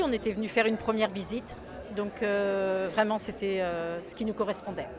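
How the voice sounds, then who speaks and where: A woman speaks at a moderate pace with a fairly high pitch. Crowd noise can be heard in the background. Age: 60s. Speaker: shop founder and seamstress. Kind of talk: interview. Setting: in a shop. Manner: hesitant, many fillers.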